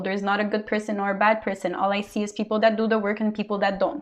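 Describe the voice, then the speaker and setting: The voice carries a strong non-native accent. It moves at a fairly quick pace in a flat monotone. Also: woman. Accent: big foreign. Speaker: tarot reader. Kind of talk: tarot reading monologue. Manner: casual with many fillers.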